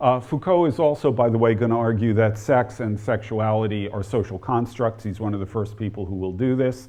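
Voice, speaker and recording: A man talks at a medium pitch in an ordinary speaking voice. His pitch varies in an ordinary way, and his pace is fairly quick. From New Jersey (near Newark). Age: 60s. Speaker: historian and author. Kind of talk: lecture.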